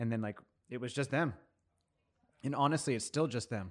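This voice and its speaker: A man speaks at a very fast pace. His medium pitch moves with ordinary variation. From US, Mexican-American family. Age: 30s. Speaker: coffee professional. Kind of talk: casual chat.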